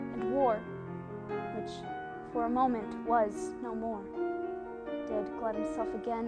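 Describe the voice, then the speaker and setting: Woman speaking at a very slow pace, with music in the background. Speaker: college theatre student actor. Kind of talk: dramatic poetry monologue.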